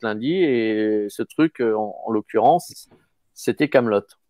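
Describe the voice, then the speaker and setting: Very slow and lively in intonation, a man's voice comes through dry and close with no echo. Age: 50s. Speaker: actor. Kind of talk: casual chat.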